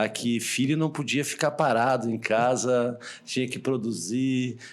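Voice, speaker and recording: This man has a Rio Grande do Sul accent. His pitch is medium. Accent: Rio Grande do Sul (gaúcho). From southern Brazil, Porto Alegre. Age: middle-aged. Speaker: hospital director. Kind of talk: interview.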